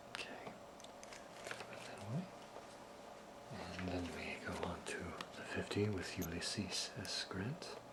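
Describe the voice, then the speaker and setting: Whispering at a very slow pace, a man has a gentle, nervous tone over noticeable background noise. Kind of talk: soft-spoken ASMR video with informative demonstration. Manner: soft-spoken, gentle, slightly nervous.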